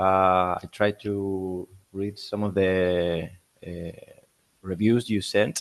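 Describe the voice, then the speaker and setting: A man talks in a very deep, low pitch with monotone, flat intonation. He goes very slowly and leaves long, frequent pauses. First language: not English. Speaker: seminar participant. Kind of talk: casual discussion. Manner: halting.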